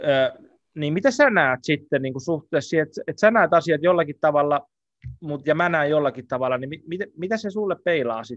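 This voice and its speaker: Recorded with a dry, close sound and no echo, a man with a fairly high pitch and ordinary pitch variation speaks in an unremarkable speaking voice. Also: moderate pace. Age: 30s. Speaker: podcast host. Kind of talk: casual chat.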